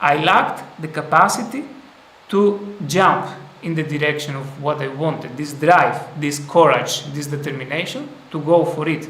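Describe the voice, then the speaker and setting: A fairly high-pitched man at a moderate pace with ordinary pitch variation, audible room echo and noticeable background noise. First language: not English. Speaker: spiritual teacher. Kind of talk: live stream talk. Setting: live stream. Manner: halting.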